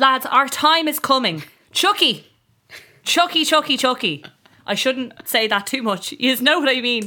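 Projecting her raised, high-pitched voice, a woman speaks at a fairly slow pace with lively intonation and long, frequent pauses. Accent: Irish. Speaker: podcast host. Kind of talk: casual chat. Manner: animated.

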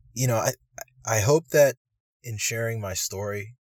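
A man with an American accent, somewhat breathy, at a fairly slow pace, in a dry, close sound with no echo and a very clean recording over a silent background. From US East Coast. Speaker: medical student. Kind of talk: interview storytelling. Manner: halting, many fillers.

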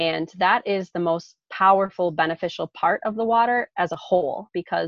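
Moderately paced speech in an unremarkable speaking voice, pitch variation ordinary. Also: woman. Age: 30s. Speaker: full-time traveler and online entrepreneur. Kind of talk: casual interview.

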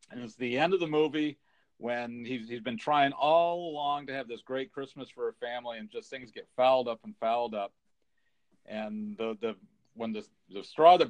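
With an American accent, a man with an unremarkable speaking voice talks at a moderate pace and medium pitch, his intonation lively. His loudness swings widely, and the sound is dry and close with no echo. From California. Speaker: podcast co-host. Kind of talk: casual chat.

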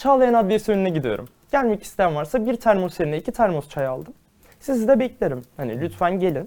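A man speaks in a high pitch at a fairly quick pace, his voice swinging very widely in pitch. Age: 20s. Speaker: law student and activist. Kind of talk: interview.

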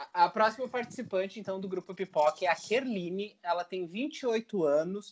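A man talks at a fairly slow pace. His pitch is high and his intonation lively. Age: 30s. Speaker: podcast host, English teacher and psychologist. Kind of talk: casual chat.

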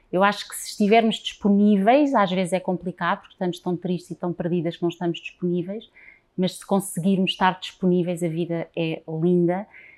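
With an unremarkable speaking voice, a woman at medium pitch talks fairly quickly and fairly evenly, her loudness swinging widely. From Portugal, Lisbon. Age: 40s. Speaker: transgenerational therapist. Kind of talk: interview.

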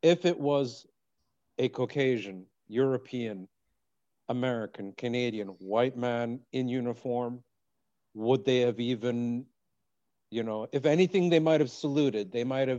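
The delivery has a fairly slow pace, long, frequent pauses, ordinary pitch variation and a dark, mellow tone. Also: man, medium pitch for a man. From Iraq. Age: 40s. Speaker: podcast host. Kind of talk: casual interview chat.

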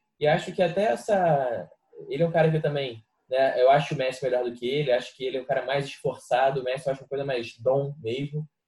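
The voice has a dark, mellow tone and is somewhat breathy. It moves at a very fast pace. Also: man. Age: 20s. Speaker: football podcast co-host. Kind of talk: casual chat.

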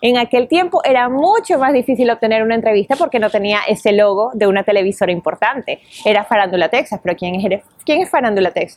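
In a dry, close sound with no echo, a woman talks very fast at a fairly high pitch with lively intonation. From Venezuela. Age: 30s. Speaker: entertainment reporter and radio host. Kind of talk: interview.

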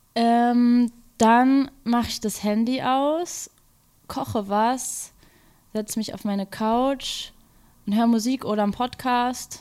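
Pausing long and often at a very slow pace, a woman speaks at high pitch with fairly even intonation. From Berlin, Kreuzberg. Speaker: music journalist. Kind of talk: interview. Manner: hesitant, many filler sounds.

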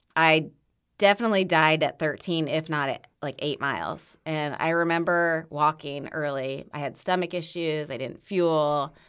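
A Midwestern US accent with fairly even intonation. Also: woman, very deep, low pitch for a woman, moderate pace, very clean recording, silent background. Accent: US Midwest. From Indiana, Bloomington. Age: 40s. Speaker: marathon runner and running coach. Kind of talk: casual chat.

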